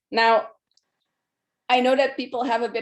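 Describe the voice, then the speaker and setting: A woman's fairly high, monotone voice with a non-native accent at a moderate pace, on a very clean recording with a silent background. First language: not English. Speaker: solution architect. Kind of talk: presentation.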